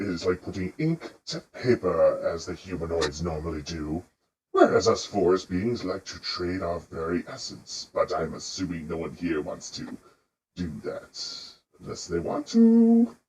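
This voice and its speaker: Very deep and low in pitch, a man's put-on character voice fills the clip. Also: moderate pace. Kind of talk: fantasy roleplay voice. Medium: actual play. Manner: formal, deliberate.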